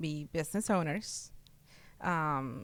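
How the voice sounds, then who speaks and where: A woman in a Spanish accent at a very slow pace, on a very clean recording with a silent background. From Mexico, Oaxaca; moved to US at eleven. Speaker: real estate client, business owner. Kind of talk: interview. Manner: halting, many fillers.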